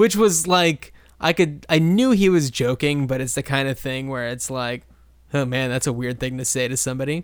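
A man with an American accent talks in an unremarkable speaking voice at a medium pitch, a moderate pace and with ordinary pitch variation. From New Jersey. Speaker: podcast co-host. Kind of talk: casual chat.

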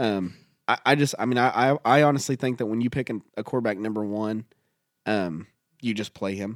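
In an ordinary speaking voice, a man of medium pitch talks at a fairly quick pace with ordinary pitch variation, the sound dry and close with no echo and the recording very clean over a silent background. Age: 30s. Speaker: podcast co-host. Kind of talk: casual chat.

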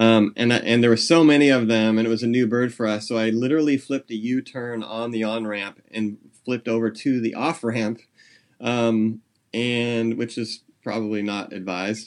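At a moderate pace, the speaker talks with a Californian accent and a fairly even intonation. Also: man, medium pitch for a man. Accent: General American, Californian. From US West Coast, San Jose, California. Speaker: junior high English teacher and birder. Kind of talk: casual interview chat.

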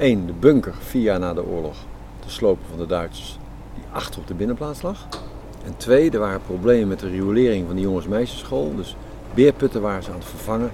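With noticeable background noise around him, a man with a very deep, low voice speaks with lively intonation and big swings in loudness. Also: fairly quick pace. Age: 60s. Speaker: architect and project initiator. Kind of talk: interview. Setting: outdoors in a garden.

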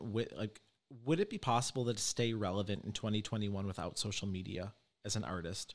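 In a very clean recording with a silent background, a man speaks in a normal speaking voice at a medium pitch, fairly quick pace, and with ordinary pitch variation. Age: 30s. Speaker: podcast host and psychic medium. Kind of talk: casual interview chat.

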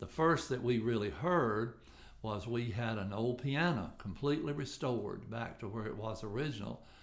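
A man with a Tennessee accent talks at a moderate pace, with audible room echo around him. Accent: Southern US (Tennessee). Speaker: local historical association president. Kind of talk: podcast interview.

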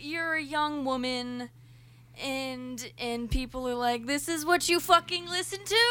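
Noticeable background noise sits behind a woman with a high pitch and a raised, projected voice. She speaks fairly slowly with lively intonation. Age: 20s. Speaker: band singer. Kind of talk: casual chat.

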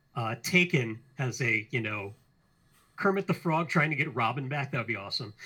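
A man speaks at medium pitch and moderate pace, his intonation lively and his tone bright and sharp. The recording is very clean, with a silent background. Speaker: podcast co-host. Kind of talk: casual chat.

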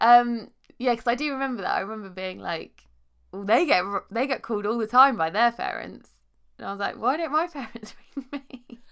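A southern English accent with big swings in loudness, on a very clean recording with a silent background. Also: woman, fairly high pitch for a woman, lively intonation, fairly quick pace. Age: 30s. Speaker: podcast host and life coach. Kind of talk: casual interview chat.

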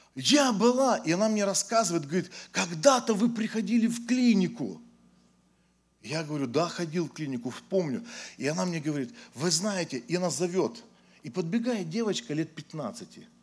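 High-pitched male voice with very wide pitch swings and long, frequent pauses, on a very clean recording with a silent background. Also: moderate pace. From Ukraine. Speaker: pastor. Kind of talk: sermon.

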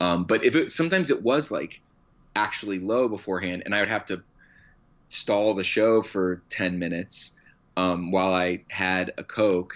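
A man speaks at a moderate pace with a fairly low pitch. He has an unremarkable speaking voice with ordinary pitch variation. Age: 30s. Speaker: comedian. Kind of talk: casual chat. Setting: phone call.

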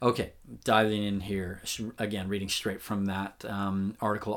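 A man with a fairly low pitch and a normal speaking voice, at a moderate pace. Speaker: relationship podcast host. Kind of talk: reading aloud an article.

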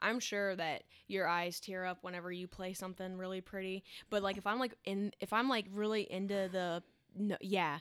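A woman with an American accent and an unremarkable speaking voice, medium in pitch, fairly even in intonation and moderate in pace, on a very clean recording with a silent background. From Chesapeake, Virginia. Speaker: podcast co-host. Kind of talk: casual chat. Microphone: amateur recording, poor audio quality.

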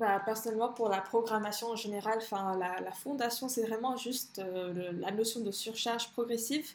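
A woman speaks at a moderate pace with a fairly high pitch. Her intonation is fairly even, and the room echo is audible. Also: hardly any pauses. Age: 20s. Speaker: fitness coach and bikini athlete. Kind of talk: casual chat.

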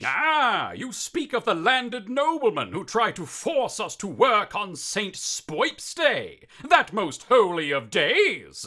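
Putting on a character voice, a man speaks at a fairly slow pace with hardly any pauses in a high pitch, with very wide pitch swings and big swings in loudness. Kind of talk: mock-archaic theatrical speech. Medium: audio drama. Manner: pompous, declamatory.

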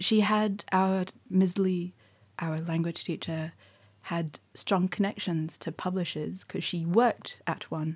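The woman talks fairly slowly, and her voice is somewhat breathy. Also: medium pitch for a woman, fairly even intonation. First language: Mandarin. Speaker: poet and writer. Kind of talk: interview. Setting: bookshop.

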